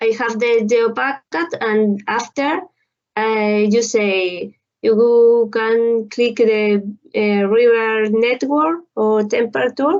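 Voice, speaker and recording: Speaking very slowly in a Spanish accent, a woman uses a fairly high pitch with ordinary pitch variation. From Spain. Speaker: workshop participant. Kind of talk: question in online class. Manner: halting.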